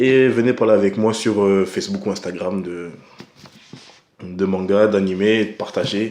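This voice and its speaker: Speaking at a fairly slow pace, a man has a dark, mellow tone, a fairly low pitch and fairly even intonation. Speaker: anime reviewer. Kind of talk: casual vlog commentary. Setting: at home at night. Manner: soft-spoken; hesitant, many fillers.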